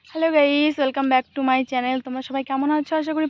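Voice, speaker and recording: A woman speaks in a high voice. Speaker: home vlogger. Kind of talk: casual vlog narration. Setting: at home.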